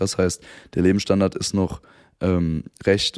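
This man speaks at a fairly quick pace. His tone is dark and mellow. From Germany, Frankfurt area. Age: 20s. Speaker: boyband member and influencer. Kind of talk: casual chat. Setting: living room.

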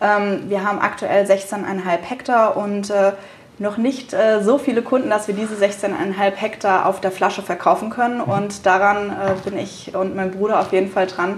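Noticeable background noise is present as a woman talks at a moderate pace, her intonation fairly even. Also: medium pitch for a woman. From Rheingau, Germany. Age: 20s. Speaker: young winemaker. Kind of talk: interview. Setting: at the winery.

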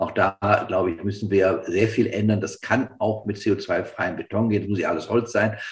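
Somewhat breathy and fairly low-pitched, a man talks at a moderate pace with fairly even intonation and hardly any pauses. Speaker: professor and risk researcher. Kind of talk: expert panel discussion.

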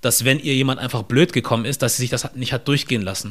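A man talks at a fairly quick pace in a medium pitch with a plain, everyday voice. The recording is very clean with a silent background. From southern Germany, near Stuttgart. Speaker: podcaster and content creator. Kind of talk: interview conversation.

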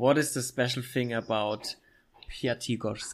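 A man with a medium pitch speaks at a fairly slow pace. His intonation is fairly even. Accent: German. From Germany, Middle Franconia (Bavaria). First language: German. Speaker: podcast host. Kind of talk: casual interview.

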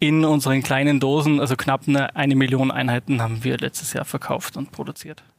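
The speaker is a man with a medium pitch. His intonation stays monotone and flat. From Austria, Salzburg. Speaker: spice company managing director. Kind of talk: interview.

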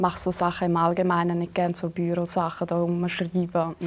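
The speaker has a strong Swiss German accent and a fairly quick pace. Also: woman. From Switzerland. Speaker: reality TV bachelorette and TikToker. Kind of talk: casual interview. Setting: studio.

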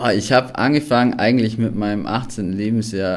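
A man's ordinary speaking voice. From Allgäu, southern Germany. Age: 30s. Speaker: photographer and videographer, camper. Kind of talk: podcast interview.

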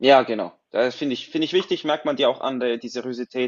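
A man is talking at a fairly quick pace. His pitch sits in the medium range. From Switzerland. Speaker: podcast host, works in advertising agency. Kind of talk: moderated panel discussion.

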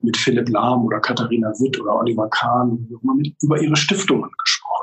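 A man of medium pitch talks at a moderate speed, his intonation fairly even. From Germany, rural farm. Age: 30s. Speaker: magazine publisher and author. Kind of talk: interview. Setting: video call. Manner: hesitant, many fillers and repetitions.

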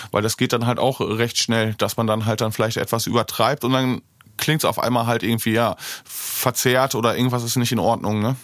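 A man's flat, monotone delivery at a fairly quick pace, with very even loudness throughout. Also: medium pitch for a man. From Germany, Bocholt area, North Rhine-Westphalia. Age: 30s. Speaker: DJ, music producer and mastering engineer. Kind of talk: interview. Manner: frequent fillers, hesitant.

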